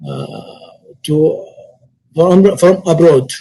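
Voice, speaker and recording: With an Arabic accent, a man speaks at a very slow pace in a dark, mellow tone and a fairly high pitch. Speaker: Umrah travel industry speaker. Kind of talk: webinar presentation. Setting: online webinar. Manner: halting.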